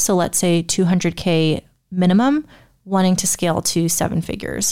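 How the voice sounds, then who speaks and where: An unremarkable speaking voice from a woman at medium pitch, moderate pace and ordinary pitch variation, in a very clean recording with a silent background. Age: 20s. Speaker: online business coach. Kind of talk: solo podcast monologue. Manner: casual, conversational.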